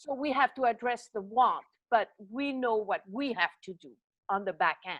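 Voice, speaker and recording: With a Swiss French accent, a woman speaks at a moderate pace in a high pitch. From French-speaking Switzerland. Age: 60s. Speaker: fitness coach. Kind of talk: interview.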